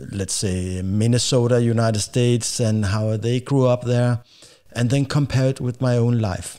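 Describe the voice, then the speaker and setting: The voice has a dark, mellow tone. It carries a Danish accent. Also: man, medium pitch for a man, moderate pace. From Denmark. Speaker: podcast host. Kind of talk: casual talk to camera. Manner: hesitant, halting.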